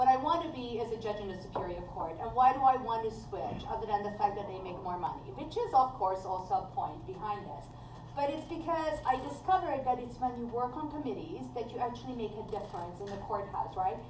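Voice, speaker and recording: A woman with a non-native accent talks at a fairly quick pace, with hardly any pauses and a fairly high pitch that makes very wide swings. Her loudness shifts greatly, and audible room echo surrounds her voice. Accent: foreign. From Hungary. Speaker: judicial candidate, workers' compensation judge. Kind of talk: candidate forum answers.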